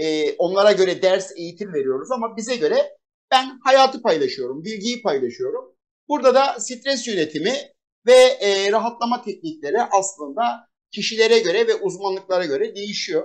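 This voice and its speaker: The speaker is a man with a high-pitched voice. His intonation is lively. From Turkey, Adana. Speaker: business executive and trainer. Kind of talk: interview talk. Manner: fast.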